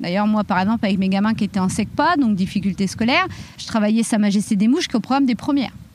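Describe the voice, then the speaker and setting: Noticeable background noise surrounds a woman speaking at a very fast pace. Her fairly high voice has lively intonation. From France, Reims area. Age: 30s. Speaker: professional boxer and teacher trainer. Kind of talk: podcast testimony.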